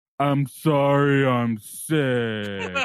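This man adopts a put-on character voice at medium pitch. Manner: loud.

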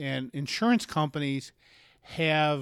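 A man with an ordinary speaking voice at a fairly slow pace, dry and close with no echo, on a very clean recording with a silent background. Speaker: insurance broker. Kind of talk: casual interview chat. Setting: studio.

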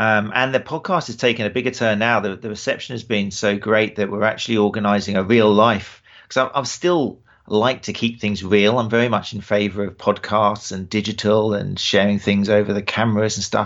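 A man with a British accent talks at a fairly quick pace. His pitch is fairly low and his intonation fairly even. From England. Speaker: running form specialist and podcaster. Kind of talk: casual interview conversation.

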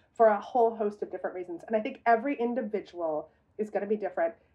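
This woman has an unremarkable speaking voice, fairly high in pitch and with ordinary pitch variation. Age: 40s. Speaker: celebrity culture reporter. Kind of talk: casual chat.

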